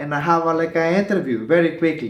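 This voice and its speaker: A man with a Spanish accent at a moderate pace, with audible room echo. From El Salvador. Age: 30s. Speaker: asylum seeker. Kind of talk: personal testimony interview. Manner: halting, many fillers.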